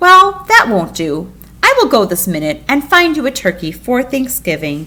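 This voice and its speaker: Putting on a character voice, a woman speaks at a moderate pace in a high pitch that swings very widely. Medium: read story.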